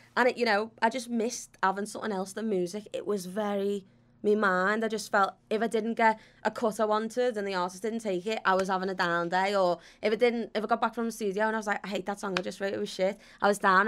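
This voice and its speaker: Speaking very fast in a Liverpool accent, a woman has a fairly high voice, recorded very cleanly with a silent background. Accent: Scouse. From Liverpool, England. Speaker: footballer and TV presenter. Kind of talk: casual chat. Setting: studio. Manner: animated.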